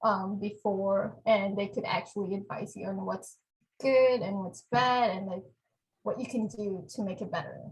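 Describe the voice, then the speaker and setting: Vocal fry runs through a woman's medium-pitched voice as she talks at a moderate pace with ordinary pitch variation. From Philippines (Manila, Cavite). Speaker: biotech specialist, program alumna. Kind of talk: podcast interview.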